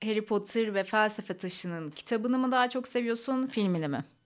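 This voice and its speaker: On a very clean recording with a silent background, a woman talks in an ordinary speaking voice at a fairly high pitch. Her pace is moderate, and her pitch varies in an ordinary way. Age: 30s. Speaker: podcast host. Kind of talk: casual chat.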